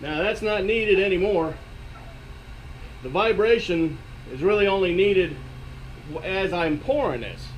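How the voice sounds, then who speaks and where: At a moderate pace with long, frequent pauses and ordinary pitch variation, the speech carries noticeable background noise and audible room echo. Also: man, high pitch for a man. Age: 60s. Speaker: DIY workshop video maker. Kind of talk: tutorial. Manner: halting, with many fillers.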